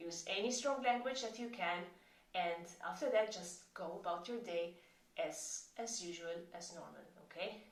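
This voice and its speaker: With a Maltese accent, a woman talks at a fairly slow pace amid noticeable background noise and audible room echo. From Malta. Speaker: chronic pain coach. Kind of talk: tutorial.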